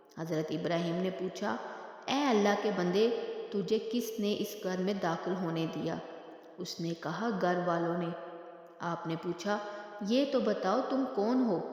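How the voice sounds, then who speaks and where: The pitch shows ordinary variation. Noticeable background noise runs underneath. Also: woman, medium pitch for a woman. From Pakistan. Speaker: voice-over artist. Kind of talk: Islamic religious storytelling narration.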